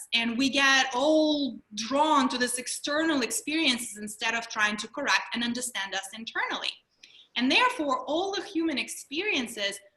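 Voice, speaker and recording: A woman with a Russian accent projects a raised voice, her pitch high and her intonation lively. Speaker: mindfulness trainer and mental health speaker. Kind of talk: webinar presentation.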